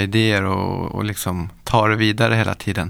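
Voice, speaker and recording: At a fairly slow pace, a man speaks in a plain, everyday voice with a medium pitch. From Stockholm area, Sweden. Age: 40s. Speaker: pro skier and entrepreneur. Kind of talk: casual interview. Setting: studio.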